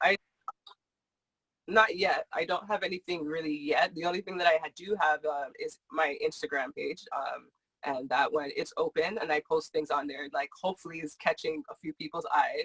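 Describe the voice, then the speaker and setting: A woman speaks at a moderate pace in a dry, close sound with no echo. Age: young. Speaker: financial advisor. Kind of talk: interview. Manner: soft-spoken.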